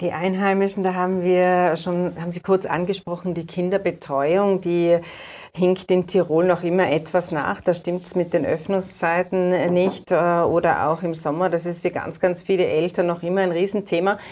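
A woman's fairly low-pitched voice with flat, monotone intonation. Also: moderate pace. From Austria, Tyrol. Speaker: newspaper reporter and interviewer. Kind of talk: interview. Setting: studio.

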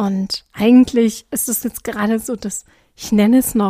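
The voice has a dark, mellow tone and ordinary pitch variation at a fairly slow pace, in a dry, close sound with no echo. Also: woman. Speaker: podcast host. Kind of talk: casual monologue.

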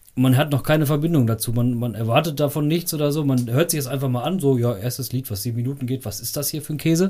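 Somewhat breathy and dark, mellow in tone, a man rushes along at a very fast pace with hardly any pauses. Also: medium pitch for a man, ordinary pitch variation. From Sauerland, Germany. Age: 30s. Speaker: rock club vice chair and drummer. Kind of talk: casual chat. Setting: home basement recording.

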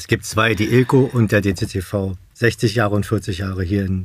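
Fairly even in intonation, this man's voice sits at a fairly low pitch and comes across somewhat breathy. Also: hardly any pauses. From Berlin, Germany. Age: 50s. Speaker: support group co-founder, stoma patient. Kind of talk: casual interview.

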